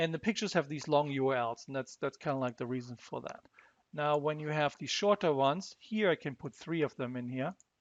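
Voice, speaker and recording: In a German accent, a man talks at a fairly quick pace with fairly high pitch and ordinary pitch variation, recorded with a dry, close sound and no echo. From Germany. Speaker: software demo presenter. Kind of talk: tutorial. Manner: halting, repeats words.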